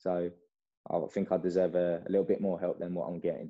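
A man with an English accent speaks at a fairly quick pace in a very deep, low voice. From England. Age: 20s. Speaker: karate athlete. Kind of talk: interview.

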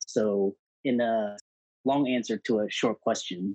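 A man talks at a medium pitch with ordinary pitch variation. The sound is dry and close, with no echo. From US South, Houston, Texas. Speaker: physician and entrepreneur. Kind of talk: interview.

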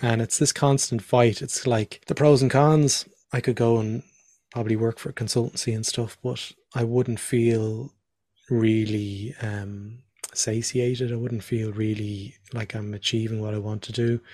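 A man with a Dublin accent speaks at a fairly slow pace with medium pitch and monotone, flat intonation. His voice is somewhat breathy with a dark, mellow tone, on a very clean recording with a silent background. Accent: Irish (Dublin area). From Ireland, near Dublin. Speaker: design professional and podcast host. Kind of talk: casual interview.

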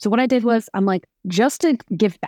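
With an American accent, a woman speaks in an animated tone with ordinary pitch variation, the sound dry and close with no echo against a quiet background. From New York. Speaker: trucking lawyer and tech company founder. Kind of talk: interview.

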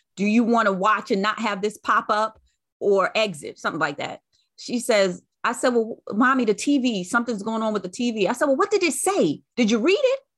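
Over a quiet background, a woman with an unremarkable speaking voice talks at a fairly quick pace, her fairly high pitch carried by lively intonation. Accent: American. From Brooklyn, New York and North Carolina. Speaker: podcast host. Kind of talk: casual interview.

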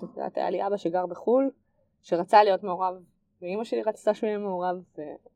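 A woman rushes along at a very fast pace. Her tone is dark and mellow, her pitch medium. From Israel, Nesher. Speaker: tech entrepreneur. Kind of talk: interview.

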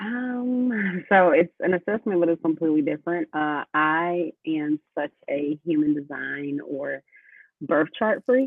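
This is an unremarkable speaking voice at a fairly slow pace. The intonation is lively. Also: woman, fairly low pitch for a woman. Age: 30s. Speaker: podcast co-host. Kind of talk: casual chat between friends.

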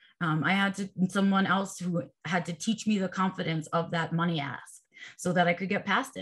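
A woman talks at a moderate pace with a medium pitch. She has an unremarkable speaking voice. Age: 40s. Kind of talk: casual interview.

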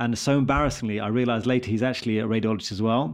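A man with a British accent talks at a very fast pace against a quiet background. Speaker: radiologist and podcast host. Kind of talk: casual chat.

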